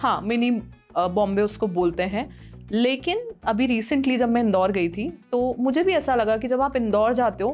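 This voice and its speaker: A woman talks with lively intonation at a moderate pace while music plays in the background. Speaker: radio jockey. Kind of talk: podcast interview answer.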